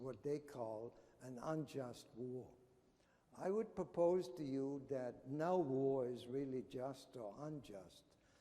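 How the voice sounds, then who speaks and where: A man with a dark, mellow tone at a very slow pace, with audible room echo. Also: medium pitch for a man, ordinary pitch variation. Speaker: anthropology professor. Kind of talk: conference talk.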